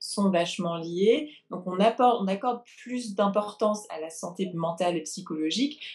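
Lively intonation marks this woman's voice. She speaks at a medium pitch. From France, then England. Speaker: therapist and coach. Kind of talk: interview. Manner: hesitant, with frequent repetitions.

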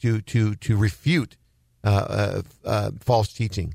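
On a very clean recording with a silent background, a man's somewhat breathy voice comes through dry and close, with no echo. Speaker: radio host. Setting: studio.

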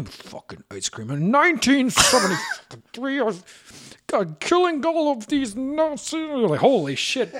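A put-on character voice mumbles in a high pitch. The pace is very slow. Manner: mumbling, grumbling under his breath.

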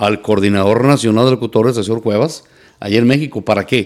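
Here a man speaks at medium pitch with a normal speaking voice. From Mexico, La Piedad, Michoacán. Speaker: charreada announcer and radio broadcaster. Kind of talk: casual interview chat.

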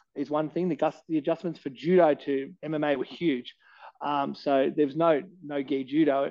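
A man speaks at a moderate pace with an Australian accent. His voice sits fairly high, with ordinary pitch variation. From Australia, Canberra. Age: 30s. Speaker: MMA fighter and gym head coach. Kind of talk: casual interview chat. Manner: halting, many fillers.

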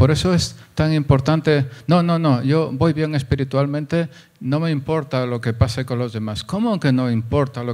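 Over a silent background in a very clean recording, a man talks fairly slowly at a medium pitch. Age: 60s. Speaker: pastor. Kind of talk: sermon.

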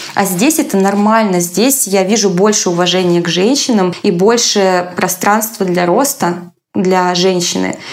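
At a fairly slow pace, a woman with a medium-pitched voice holds her loudness very even and varies her pitch in an ordinary way. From Russia, small town. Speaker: content moderator and psychologist. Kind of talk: interview.

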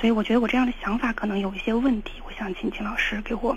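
Delivered at a very fast pace with monotone, flat intonation, the speech comes with noticeable background noise. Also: woman. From Shaanxi. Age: 20s. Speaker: caller seeking relationship advice. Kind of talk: call-in advice conversation. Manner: hesitant, with fillers.

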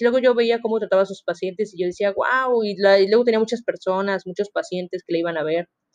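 A woman talks at a fairly quick pace in a normal speaking voice. Her medium pitch holds fairly even intonation. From Mexico, Veracruz (Coatzacoalcos). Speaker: university student podcaster. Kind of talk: casual monologue.

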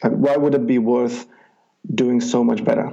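In a Czech accent, a man talks with ordinary pitch variation. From Czech Republic, rural village. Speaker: life coach. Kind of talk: interview. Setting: Skype call.

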